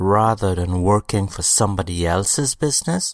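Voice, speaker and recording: On a very clean recording with a silent background and a dry, close sound with no echo, a man speaks at a moderate pace with lively intonation. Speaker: podcast host and author. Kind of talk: solo podcast monologue with self-help lecture, opening with radio-style patter. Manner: upbeat, polished, promotional, enthusiastic announcer-like delivery; direct and motivational, addressing listener with rhetorical questions.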